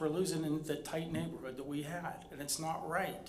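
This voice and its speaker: There is noticeable background noise and audible room echo. A man with a fairly high pitch speaks at a moderate pace. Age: 60s. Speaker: resident speaking at public comment. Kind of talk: public comment at council meeting.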